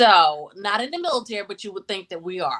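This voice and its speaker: Loud and with a bright, sharp tone, a woman with an American accent speaks at medium pitch. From Charlotte, North Carolina. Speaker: relationship and life coach. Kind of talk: self-introduction.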